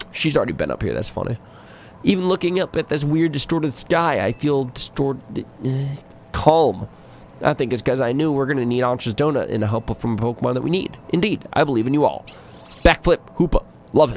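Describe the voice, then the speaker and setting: Here is an unremarkable speaking voice: a man with a fairly high pitch. He talks at a fairly quick pace with ordinary pitch variation. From Canada. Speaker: gaming streamer. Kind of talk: live game commentary.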